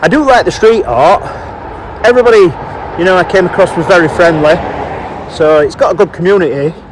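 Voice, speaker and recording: Against noticeable background noise, a man with a northern English accent talks at a moderate pace in a high pitch with ordinary pitch variation. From northern England. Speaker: walking vlogger. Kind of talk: vlog narration. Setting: outdoors.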